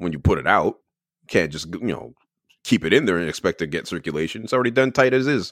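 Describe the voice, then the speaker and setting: On a very clean recording with a silent background, a man speaks very fast with very wide pitch swings and vocal fry. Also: dry, close sound with no echo. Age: 40s. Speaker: sports podcaster. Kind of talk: casual chat.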